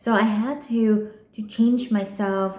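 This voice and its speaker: The voice belongs to a woman with a Vietnamese accent. Her pitch is fairly high. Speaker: PhD student vlogger. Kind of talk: personal vlog monologue. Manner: halting, with frequent repetitions and fillers.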